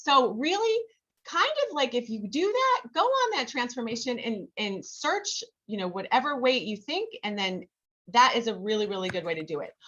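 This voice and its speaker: A woman talks loudly at a moderate pace. Her high-pitched voice swings very widely. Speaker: health coach. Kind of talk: training presentation on video call. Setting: video call. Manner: casual, filler-heavy.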